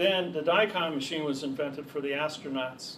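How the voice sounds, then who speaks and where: With audible room echo and noticeable background noise, a man at a fairly high pitch talks at a fairly quick pace with fairly even intonation. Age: 60s. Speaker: seminar speaker. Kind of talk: lecture.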